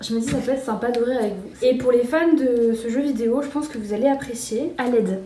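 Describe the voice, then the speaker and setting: A woman speaks at a fairly quick pace and a high pitch, with fairly even intonation and hardly any pauses. Noticeable background noise and audible room echo fill the recording. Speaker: vlogger. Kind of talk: casual vlog to camera. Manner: fast; hesitant, many fillers.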